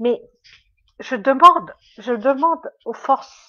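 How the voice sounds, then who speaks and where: The woman's voice is high in pitch, with a bright, sharp tone and ordinary pitch variation. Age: 60s. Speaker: medium. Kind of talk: livestream monologue. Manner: halting.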